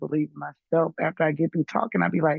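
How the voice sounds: A woman speaks low for a woman with vocal fry and a slightly husky edge, in a dry, close sound with no echo.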